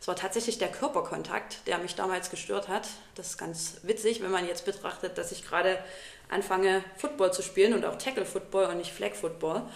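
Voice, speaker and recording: Over noticeable background noise, a woman talks at a fairly quick pace and medium pitch with ordinary pitch variation. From Saxony, Vogtland (Plauen), Germany. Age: 30s. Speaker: podcast co-host, teacher. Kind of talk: casual chat.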